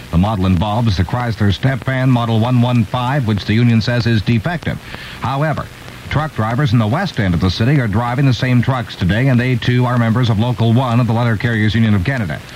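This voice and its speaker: Over noticeable background noise, a man speaks at a very fast pace and medium pitch. His loudness stays very even, with ordinary pitch variation. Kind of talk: radio newscast read. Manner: brisk, formal, crisp news-anchor delivery.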